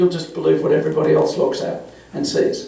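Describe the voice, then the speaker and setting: Audible room echo and noticeable background noise surround a man who speaks at a fairly quick pace. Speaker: forensic psychologist. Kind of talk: panel discussion. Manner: halting.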